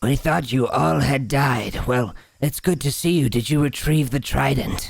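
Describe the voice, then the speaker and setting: Using a put-on character voice, a man speaks at a moderate pace and medium pitch, with hissing. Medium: actual play. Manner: halting, broken speech.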